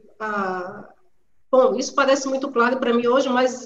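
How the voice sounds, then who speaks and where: A woman with a high voice speaks at a moderate pace. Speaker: historian. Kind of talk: online panel discussion. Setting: video call from home.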